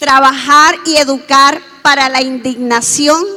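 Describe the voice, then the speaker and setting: The pace is very slow. The voice is raised and projected. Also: woman. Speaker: education speaker at forum. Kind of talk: conference talk.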